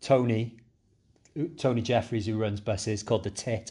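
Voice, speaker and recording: A man with a Cardiff accent speaks at a medium pitch in a dark, mellow tone. His pace is fairly slow and his intonation fairly even, against a quiet background. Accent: Cardiff Welsh. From Cardiff, Wales. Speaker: podcast co-host. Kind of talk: casual chat.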